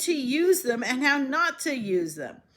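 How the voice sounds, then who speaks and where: A woman's high, bright, sharp voice, raised and projected, at a fairly slow pace. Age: 60s. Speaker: vlogger and writer. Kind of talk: casual vlog monologue.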